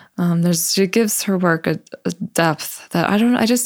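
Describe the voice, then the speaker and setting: A woman with an American accent and a normal speaking voice talks at a moderate pace with ordinary pitch variation in a very clean recording with a silent background. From Buffalo, New York. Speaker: tattoo artist. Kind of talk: casual interview.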